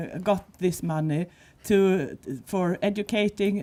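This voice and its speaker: A woman's dark, mellow tone in a Swedish accent, with fairly even intonation at a fairly slow pace. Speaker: panel speaker on audio description. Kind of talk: panel discussion. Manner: halting.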